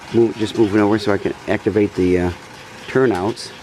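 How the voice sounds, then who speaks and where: A man speaks quietly at a fairly low pitch with fairly even intonation. Noticeable background noise can be heard. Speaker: model train hobbyist. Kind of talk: casual video narration. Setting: home, upstairs room. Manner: quiet, subdued.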